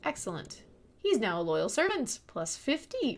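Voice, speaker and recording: Soft-spoken woman with a high pitch. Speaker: gaming streamer. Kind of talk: game tutorial commentary.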